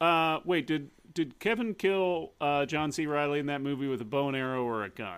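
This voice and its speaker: A man with an ordinary speaking voice, fairly high pitch and lively intonation, at a moderate pace with hardly any pauses. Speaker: comedy podcast co-host. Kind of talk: casual chat.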